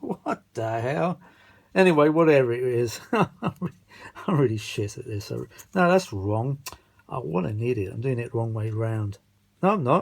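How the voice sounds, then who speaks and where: A man with a British accent and a medium pitch, at a fairly slow pace, with very wide pitch swings. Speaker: vintage audio repair hobbyist. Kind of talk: casual hands-on repair vlog. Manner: muttering to himself, halting.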